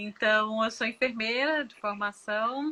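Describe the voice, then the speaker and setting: A woman with a bright, sharp tone and fairly high pitch talks at a fairly slow pace with ordinary pitch variation. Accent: northeastern Brazilian. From Northeast Brazil. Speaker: nurse and former lecturer. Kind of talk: casual chat.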